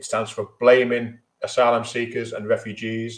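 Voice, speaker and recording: This man has a Merseyside accent and a medium pitch. He talks at a moderate pace. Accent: Merseyside (Scouse). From Merseyside, England. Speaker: trade union leader. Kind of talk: speech at online memorial event.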